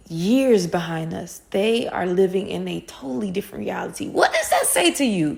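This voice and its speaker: Here a woman speaks at medium pitch. Her pace is moderate. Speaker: spiritual wellness coach and soul singer. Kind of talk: monthly wellness talk, audio recording. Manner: animated, gets louder when passionate; intense.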